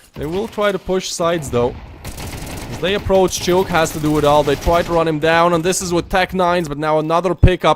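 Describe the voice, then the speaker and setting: A man with a non-native accent speaks at a moderate pace in a fairly high voice. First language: not English. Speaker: esports caster. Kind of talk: live commentary. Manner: animated.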